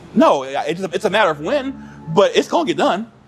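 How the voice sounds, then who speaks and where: Against music in the background, a man with a high pitch speaks at a very fast pace, his pitch swinging very widely. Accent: American. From Cleveland, Ohio. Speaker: educator, author and consultant. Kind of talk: podcast interview answer.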